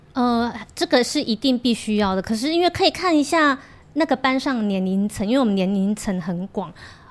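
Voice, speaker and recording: On a very clean recording with a silent background, a woman with a Korean accent talks at a fairly quick pace in a high pitch with very wide pitch swings. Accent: Korean-tinged Mandarin. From Taiwan, Kaohsiung. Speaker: Korean language school owner and teacher. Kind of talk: casual chat.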